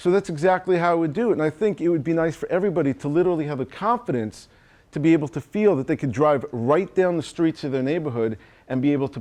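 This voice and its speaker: Someone with a New York accent speaks at a very fast pace with ordinary pitch variation against a quiet background. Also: man. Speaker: chiropractor and marketing coach. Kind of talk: seminar talk to audience. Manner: animated.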